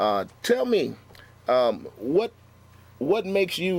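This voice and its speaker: A man talks with a Chicago accent. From Chicago, Austin neighborhood. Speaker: pastor and talk show host. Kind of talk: talk show interview.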